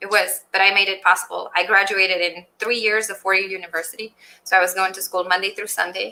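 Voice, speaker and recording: A woman with a Romanian accent speaks at a very fast pace in a bright, sharp tone, her medium pitch held to monotone, flat intonation while her loudness swings widely. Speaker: general contractor and business owner. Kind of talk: interview.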